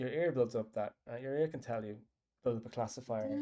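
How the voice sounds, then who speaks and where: A man speaks with a strong Irish accent in a dark, mellow tone. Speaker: app developer. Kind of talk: casual chat. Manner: rambling, hesitant.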